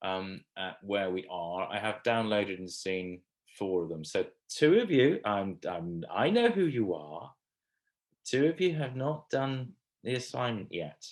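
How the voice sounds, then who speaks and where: Speaking fairly slowly in a southern English accent, a man with a fairly low voice makes very wide pitch swings. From England. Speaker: communication skills trainer. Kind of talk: online training session. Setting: video call. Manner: casual, hesitant with fillers.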